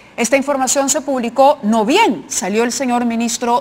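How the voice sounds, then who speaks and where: A woman's high voice at a fairly slow pace, with ordinary pitch variation over noticeable background noise. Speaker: TV news host. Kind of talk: TV news commentary.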